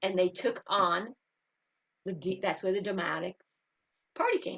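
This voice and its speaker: A woman speaks with a New York accent. Her medium-pitched voice has an animated tone. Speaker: spiritual teacher and engineer. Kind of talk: interview.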